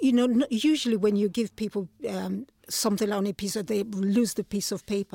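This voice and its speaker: Woman at medium pitch with ordinary pitch variation and a fairly quick pace, in a dry, close sound with no echo. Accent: Nigerian. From Nigeria. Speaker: playwright and photographer. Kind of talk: interview. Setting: studio.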